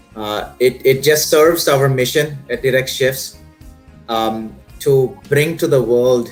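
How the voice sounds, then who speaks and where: Music runs in the background as a man talks. His pace is fairly slow, with ordinary pitch variation. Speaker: company executive, interviewer. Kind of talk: interview introduction.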